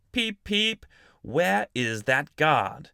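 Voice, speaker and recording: Putting on a character voice, a man speaks at a fairly high pitch with very wide pitch swings. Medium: read story. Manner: gentle, eager.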